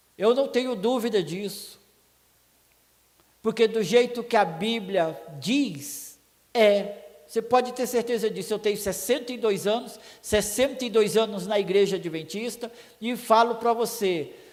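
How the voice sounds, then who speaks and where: A man's high voice at a fairly slow pace, with ordinary pitch variation, long and frequent pauses, and audible room echo. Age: 60s. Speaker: preacher. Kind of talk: sermon.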